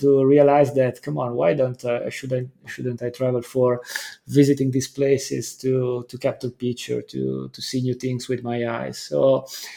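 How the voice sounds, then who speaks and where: Speaking fairly slowly, the man has an Italian accent. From northern Italy. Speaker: landscape photographer. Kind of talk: interview. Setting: remote call. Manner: halting.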